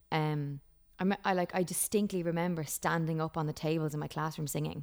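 This speaker has an Irish accent and a fairly even intonation. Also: woman. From Ireland. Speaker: country singer-songwriter. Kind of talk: casual interview chat. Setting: remote call from home.

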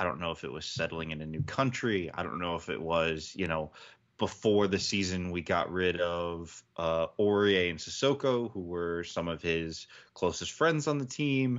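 With a very deep, low pitch, a man speaks at a moderate pace with lively intonation. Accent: American. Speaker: football podcast panelist. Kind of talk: casual sports podcast chat.

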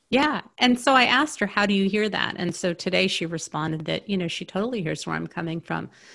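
Very fast and with hardly any pauses, a woman speaks at medium pitch in a bright, sharp tone with vocal fry. Her intonation is lively, and the recording is very clean with a silent background. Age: 50s. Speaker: therapist and coach for highly sensitive people. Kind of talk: interview. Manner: animated.

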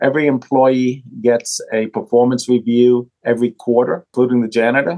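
A man's normal speaking voice, medium in pitch, at a moderate pace, with a dry, close sound and no echo. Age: 60s. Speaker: bank CEO. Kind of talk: interview.

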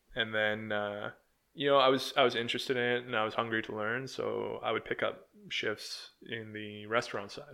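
In a Canadian prairie accent, a man speaks at medium pitch with monotone, flat intonation. His tone is bright and sharp. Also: moderate pace. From Manitoba, Canada. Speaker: sausage maker. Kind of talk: casual interview.

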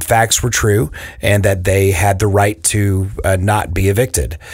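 Somewhat breathy and fairly low in pitch, a man talks at a fairly slow pace. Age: 40s. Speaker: podcast host, property management. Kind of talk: interview.

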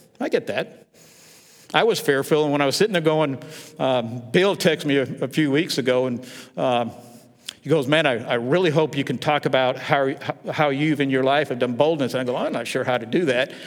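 A man with fairly high pitch, ordinary pitch variation, a moderate pace and long, frequent pauses. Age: 60s. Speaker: pastor. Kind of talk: sermon.

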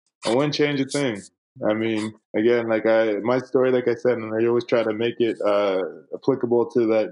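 With a Canadian accent, a man in a normal speaking voice talks at a fairly quick pace, medium in pitch with fairly even intonation. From Canada, Winnipeg, Manitoba. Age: 30s. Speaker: former pro basketball player and coach. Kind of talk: casual interview.

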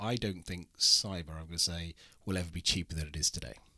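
A man with a British accent speaks at a fairly quick pace, his very deep, low pitch paired with a bright, sharp tone. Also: very clean recording, silent background. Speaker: insurance executive. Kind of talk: interview. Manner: polished.

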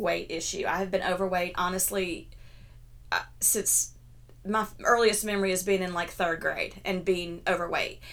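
A woman with an ordinary speaking voice at medium pitch and a moderate pace. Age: 50s. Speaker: blogger and health coach. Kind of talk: casual chat.

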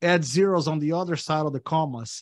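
Here is a man with a plain, everyday voice, pitched fairly high. His pace is moderate and his intonation fairly even. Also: quiet background. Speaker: real estate investor and developer. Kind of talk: casual interview chat. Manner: positive, friendly.

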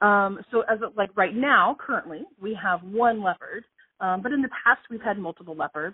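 A woman speaks in a normal speaking voice with lively intonation. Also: medium pitch for a woman, moderate pace. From US South (moved from Ohio as a child). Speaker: animal sanctuary curator. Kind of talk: interview. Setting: phone call. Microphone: phone recording, imperfect sound.

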